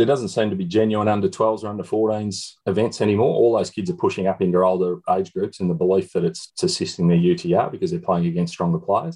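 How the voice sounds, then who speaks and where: An Australian-accented man talks very fast with hardly any pauses. His tone is dark and mellow, fairly low in pitch, with lively intonation. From Shepparton, regional Victoria, Australia. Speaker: country tennis parent and organiser. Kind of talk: panel discussion.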